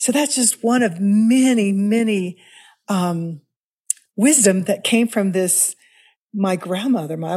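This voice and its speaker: Speaking at a fairly slow pace with long, frequent pauses, a woman with an American accent has a dark, mellow, somewhat breathy tone and lively intonation. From US Midwest, Kansas City, Missouri. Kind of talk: interview conversation.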